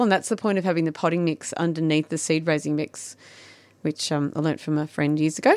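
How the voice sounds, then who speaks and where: A woman with an Australian accent, fairly low pitch and fairly even intonation, in a very clean recording with a silent background and a dry, close sound with no echo. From Victoria, Australia. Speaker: garden designer. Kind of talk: radio interview. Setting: studio. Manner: fast talker.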